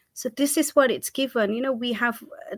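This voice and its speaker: A woman speaks slowly-ish, at a fairly slow pace, with a fairly high pitch and ordinary pitch variation. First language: not English. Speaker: community arts producer. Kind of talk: panel talk. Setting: virtual festival video call. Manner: animated, repeats words.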